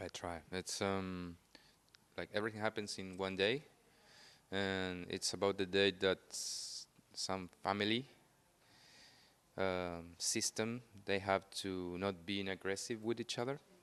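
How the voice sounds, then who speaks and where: A speaker with a Spanish accent talks at a fairly slow pace, with long, frequent pauses and fairly even intonation. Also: man, fairly low pitch for a man. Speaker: film director. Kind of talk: interview. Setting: on camera at film festival. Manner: halting.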